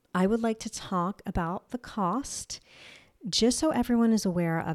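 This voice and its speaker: This woman has a New Jersey accent and an upbeat tone. Her sound is dry and close, with no echo. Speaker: health podcast host sharing personal illness journey. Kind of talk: solo podcast monologue. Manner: casual and upbeat.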